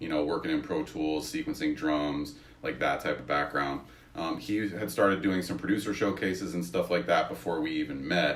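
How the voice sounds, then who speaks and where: A man with a very deep, low voice at a moderate pace, over noticeable background noise. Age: 30s. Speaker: songwriter and producer. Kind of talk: podcast interview.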